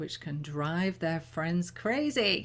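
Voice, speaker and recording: A woman with an English accent speaks at a very slow pace, somewhat breathy, at a fairly low pitch. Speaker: spiritual teacher leading new moon ceremony. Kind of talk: talk before guided meditation. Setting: live online stream.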